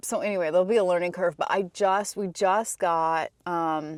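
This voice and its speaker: In a very clean recording with a silent background, a woman with a fairly low-pitched voice talks at a moderate pace. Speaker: travel vlogger. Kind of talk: casual vlog chat. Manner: loud.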